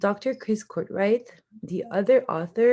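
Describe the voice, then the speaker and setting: On a very clean recording with a silent background, a woman with a French accent speaks in a dark, mellow tone with ordinary pitch variation. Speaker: university student. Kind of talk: class presentation. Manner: somewhat halting with fillers.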